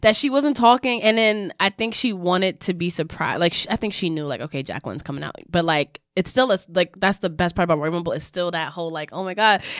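In a New York accent, a woman of medium pitch talks at a very fast pace with lively intonation and hardly any pauses. The recording is very clean with a silent background and a dry, close sound with no echo. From the Bronx, New York. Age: 30s. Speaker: wrestling podcast host. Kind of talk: casual chat.

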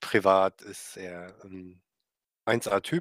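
This man speaks at a fairly low pitch for a man, with fairly even intonation. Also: dry, close sound with no echo. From Mecklenburg-Vorpommern, northeast Germany. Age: 30s. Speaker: esports club player. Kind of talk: podcast interview.

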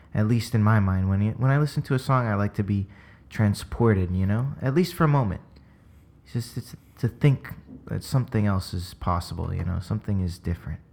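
Here a man talks at a fairly quick pace with a fairly low pitch. His intonation is lively. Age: 20s. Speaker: musician. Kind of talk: casual chat. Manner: dramatic, often does accents; animated, slangy.

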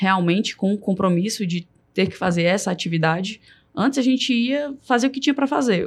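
At a fairly quick pace, a woman speaks in an ordinary speaking voice with a medium pitch and ordinary pitch variation. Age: 30s. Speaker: supermarket marketing director. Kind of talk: podcast interview.

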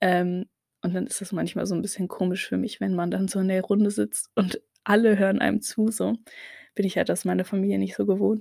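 A woman talks at a fairly quick pace. The sound is dry and close with no echo, in a very clean recording with a silent background. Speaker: podcaster. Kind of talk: casual monologue. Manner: hesitant, many filler sounds.

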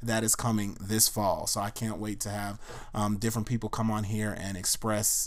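An ordinary speaking voice from a man, fairly low in pitch, at a fairly quick pace on a very clean recording with a silent background. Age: 30s. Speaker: podcast host. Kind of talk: personal monologue. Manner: casual, conversational.

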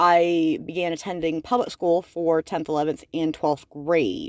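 This woman's voice sits at a fairly low pitch. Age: 20s. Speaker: podcast host. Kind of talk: solo monologue. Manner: casual, rambling with fillers.

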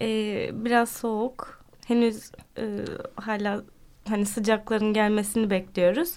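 A woman's fairly high voice at a fairly slow pace, with fairly even intonation and long, frequent pauses. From Turkey (born Ankara). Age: 20s. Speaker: French teacher and cycling club founder. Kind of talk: radio interview. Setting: radio studio. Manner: hesitant, many fillers.

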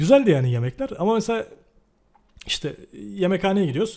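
A man with an ordinary speaking voice, fairly quick pace and lively intonation. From Turkey. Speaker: podcast host. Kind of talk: casual chat.

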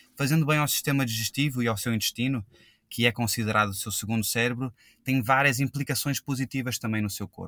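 A man's unremarkable speaking voice at a fairly quick pace, fairly even in intonation, with a dry, close sound and no echo. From Brazil, Rio de Janeiro. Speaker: drinks company founder. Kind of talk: interview.

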